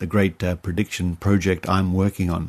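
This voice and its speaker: He has an Australian accent. The man talks rather briskly. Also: quiet background. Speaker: podcast host. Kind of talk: podcast sign-off. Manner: casual with fillers.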